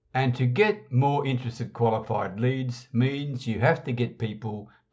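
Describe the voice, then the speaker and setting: Somewhat breathy, the voice shows ordinary pitch variation. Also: man. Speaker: internet marketing podcast host. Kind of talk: scripted training talk.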